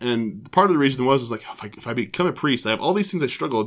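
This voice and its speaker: Very fast and with lively intonation, a bright, sharp voice with an American accent comes through on a very clean recording with a silent background. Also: man. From Colorado (Broomfield). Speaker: parish director of religious education. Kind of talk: casual interview. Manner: halting, many fillers.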